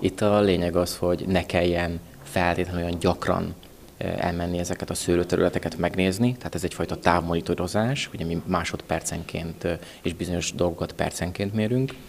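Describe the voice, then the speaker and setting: The intonation stays fairly even at a moderate pace. Light background noise sits underneath. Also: man. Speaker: agricultural technology developer. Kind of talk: interview. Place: hall. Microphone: handheld.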